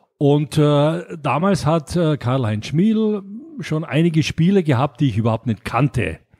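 Speaking at a fairly slow pace, a man with a fairly high voice uses lively intonation. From Austria, Graz. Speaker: board game publisher. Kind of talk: interview. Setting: in person, Mallorca. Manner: halting, many fillers.

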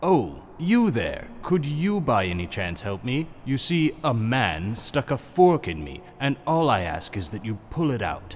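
A man's put-on character voice at medium pitch, with very wide pitch swings, a fairly slow pace, hardly any pauses and clear background noise

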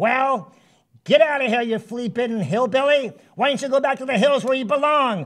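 This is a cartoonish character voice. Its pitch is fairly high. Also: moderate pace. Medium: puppet.

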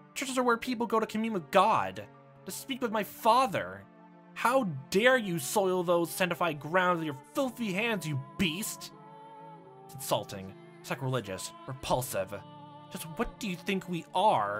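A man speaks at a moderate pace in a put-on character voice, pitched high, with clear music in the background. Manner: outraged, indignant.

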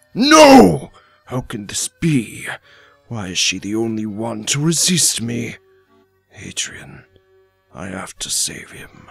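With faint music in the background, a man uses a put-on character voice at medium pitch and a fairly slow pace. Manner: commanding, menacing.

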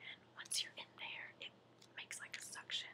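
Someone whispers, soft-spoken, beneath loud background noise. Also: woman. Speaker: mother reviewing product. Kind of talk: casual vlog chat. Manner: soft whisper while demonstrating. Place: home room. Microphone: webcam.

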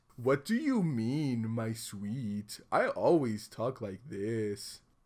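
A man puts on a character voice, medium in pitch. He speaks very slowly. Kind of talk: casual reaction commentary. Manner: exaggerated, silly, sweet.

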